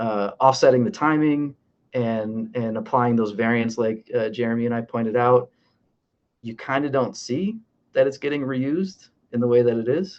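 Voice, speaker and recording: The speaker has a plain, everyday voice. Pitch variation is ordinary and the pace is moderate. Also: man, medium pitch for a man. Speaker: animation crowds artist. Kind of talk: online panel presentation. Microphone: poor audio.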